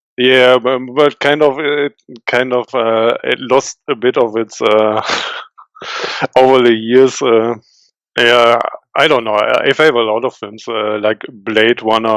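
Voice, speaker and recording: A man with a German accent, monotone, flat intonation and a fairly slow pace. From western Germany. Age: 30s. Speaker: indie game developer. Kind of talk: interview. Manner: halting, many fillers.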